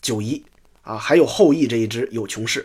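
A man at a moderate pace, his pitch swinging very widely. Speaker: storyteller podcaster. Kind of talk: storytelling narration of ancient history. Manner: casual, many filler particles.

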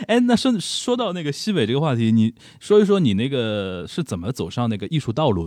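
A man at medium pitch talks at a fairly quick pace with hardly any pauses and very wide pitch swings. The recording is very clean, with a silent background. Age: 30s. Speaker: podcast host; media professional. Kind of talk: casual chat.

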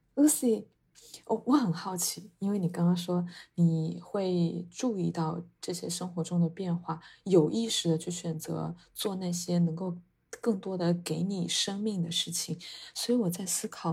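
This woman talks at a fairly slow pace with a fairly low pitch, a dark, mellow, somewhat breathy tone and ordinary pitch variation, on a very clean recording with a silent background. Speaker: podcast co-host. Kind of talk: casual chat.

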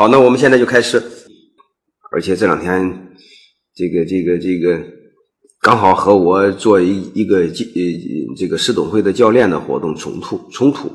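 A man at a fairly low pitch and moderate pace, with ordinary pitch variation, long, frequent pauses and audible room echo. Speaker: business management lecturer. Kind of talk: lecture. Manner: halting, many fillers and repetitions.

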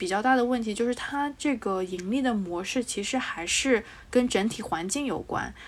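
A woman speaks at a moderate pace with ordinary pitch variation. She has an ordinary speaking voice. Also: fairly high pitch for a woman. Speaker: podcast co-host. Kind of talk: casual chat.

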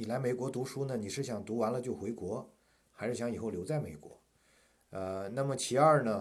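A man talks at a moderate pace with an ordinary speaking voice. His pitch is medium, with ordinary pitch variation. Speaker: university professor. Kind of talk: casual interview chat.

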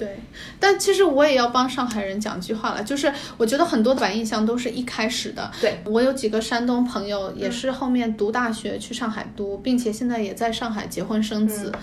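Speaking at a fairly quick pace, a woman uses a fairly high pitch with ordinary pitch variation. Noticeable background noise and audible room echo surround her. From Hong Kong, then Jinan, Shandong. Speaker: guest. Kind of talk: casual chat.

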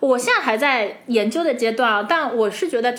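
With audible room echo around her, a woman speaks at a fairly high pitch with lively intonation. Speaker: podcast co-host. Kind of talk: casual chat. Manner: animated.

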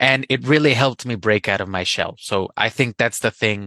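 A man speaks with a slight Spanish accent in a bright, sharp tone. The sound is dry and close with no echo, over a quiet background. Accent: barely any Spanish accent in English. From Colombia. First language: Spanish (speaking Chinese). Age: young. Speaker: Spanish teacher. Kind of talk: personal anecdote. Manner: hesitant, with fillers.

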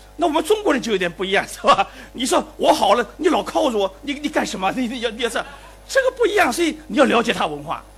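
The man's pitch is extremely high and swings very widely. He talks at a very fast pace over noticeable background noise. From Shanghai. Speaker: professor, invited commentator. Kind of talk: closing commentary at a public forum. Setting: lecture hall with live audience. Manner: halting.

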